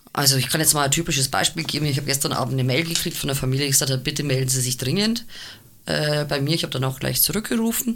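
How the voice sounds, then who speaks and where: Her pitch very deep and low, a woman talks at a very fast pace. She keeps her loudness very even while her intonation stays lively. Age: 50s. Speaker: cabaret artist and double bassist. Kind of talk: casual chat.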